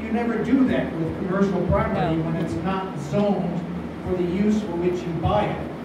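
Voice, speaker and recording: The recording carries noticeable background noise and strong room echo. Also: man. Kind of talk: public talk to an audience. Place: hall. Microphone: camera far.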